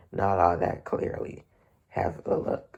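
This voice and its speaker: At a fairly slow pace, a man speaks in a raspy, put-on character voice. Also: extremely high pitch for a man. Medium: read story. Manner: cryptic, dry.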